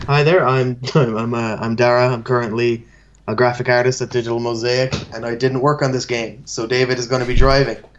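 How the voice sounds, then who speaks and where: A man with an Irish accent, medium pitch, flat monotone intonation and a fairly quick pace. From Ireland. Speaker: game graphic artist. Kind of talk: casual chat.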